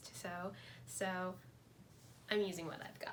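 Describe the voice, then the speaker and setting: A woman at a moderate pace, with audible room echo. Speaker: fashion design student and vlogger. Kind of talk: casual vlog narration. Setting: at home in her room. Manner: casual, chatty.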